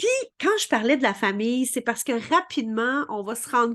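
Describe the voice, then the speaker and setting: A woman talks at a fairly slow pace with a Quebec accent. The background is quiet. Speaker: spiritual coach. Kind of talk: vlog explainer. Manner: many fillers and repetitions.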